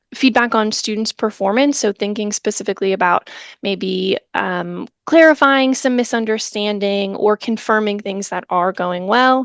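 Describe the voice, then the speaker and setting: Against a quiet background, a woman speaks in an unremarkable speaking voice at a fairly slow pace. Her pitch is fairly high with ordinary variation, and the sound is dry and close with no echo. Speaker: education trainer presenting a webinar. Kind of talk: webinar presentation.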